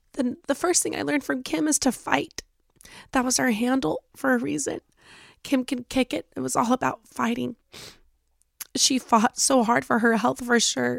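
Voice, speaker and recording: Using a raspy, put-on character voice in a high pitch, a woman speaks at a moderate pace with long, frequent pauses, the sound dry and close with no echo. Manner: emotional, voice breaking.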